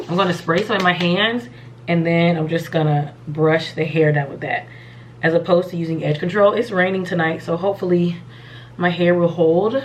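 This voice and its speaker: Amid noticeable background noise, a woman speaks at a fairly low pitch. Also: ordinary pitch variation, moderate pace. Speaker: beauty vlogger. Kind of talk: casual tutorial.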